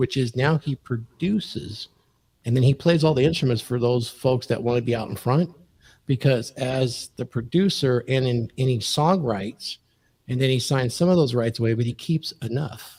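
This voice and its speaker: This very clean recording, with a silent background, has a dry, close sound and no echo. A man speaks, somewhat breathy, with ordinary pitch variation. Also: medium pitch for a man, moderate pace. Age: 60s. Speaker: podcast guest. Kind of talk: casual chat.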